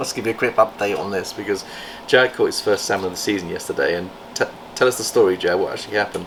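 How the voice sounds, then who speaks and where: A man talks at a very fast pace. Noticeable noise runs in the background. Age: 60s. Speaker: reptile breeder and channel host. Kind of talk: casual vlog chat. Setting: reptile facility.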